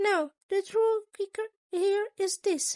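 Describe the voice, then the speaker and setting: A woman uses a squeaky, put-on character voice at an extremely high pitch. She speaks at a very slow pace. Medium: read story. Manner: polite, formal, long-winded.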